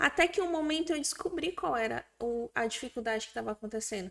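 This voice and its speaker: The recording is very clean with a silent background, and the woman's voice is high-pitched. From another Brazilian state, not Maranhão. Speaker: business founder. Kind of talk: interview.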